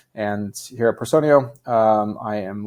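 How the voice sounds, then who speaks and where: An unremarkable speaking voice with an American accent keeps a fairly even intonation. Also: man. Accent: North American accent noticeable in Europe. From United States. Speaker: recruiting executive. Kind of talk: podcast interview.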